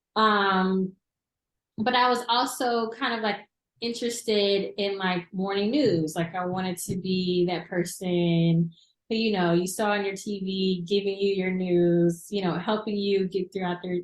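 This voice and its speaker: The delivery comes at a fairly slow pace. The speaker talks in an American accent. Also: woman, medium pitch for a woman. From US South, Crossett, southern Arkansas. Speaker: TV news reporter. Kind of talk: interview. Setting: studio.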